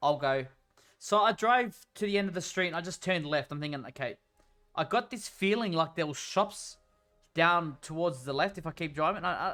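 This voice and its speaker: Music plays in the background as a man with an Australian accent talks at a moderate pace in a high voice with ordinary pitch variation. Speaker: gaming streamer. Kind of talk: casual chat. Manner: halting.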